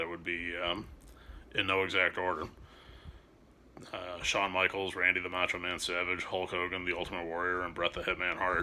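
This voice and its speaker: A man's very deep, low voice with a bright, sharp tone, fairly quick pace and monotone, flat intonation. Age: 30s. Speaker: YouTuber, wrestling fan. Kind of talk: casual monologue video. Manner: halting, many fillers and repetitions.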